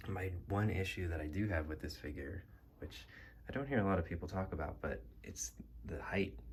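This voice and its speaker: A soft-spoken man with vocal fry and lively intonation at a moderate pace. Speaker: action figure collector. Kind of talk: casual talk to camera, collection tour.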